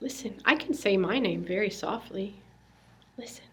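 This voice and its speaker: A somewhat breathy voice with audible room echo. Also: woman. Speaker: religious education teacher. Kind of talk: tutorial demonstrating a children's lesson. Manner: soft-spoken.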